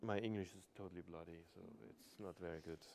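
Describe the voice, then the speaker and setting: With a German accent, a man speaks at a moderate pace in a dark, mellow tone, keeping his intonation fairly even. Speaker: painter. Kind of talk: casual discussion. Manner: halting.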